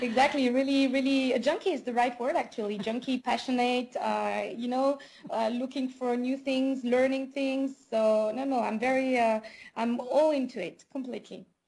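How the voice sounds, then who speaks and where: A woman with a strong French accent and a high pitch talks at a moderate pace with fairly even intonation. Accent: thick French. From France. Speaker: business owner. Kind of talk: interview. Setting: call. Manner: hesitant, many fillers.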